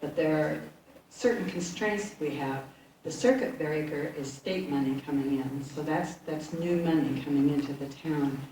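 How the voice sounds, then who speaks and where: In a room with audible echo, a woman with a very deep, low pitch speaks at a moderate pace with ordinary pitch variation. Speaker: state legislator. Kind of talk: public town meeting remarks.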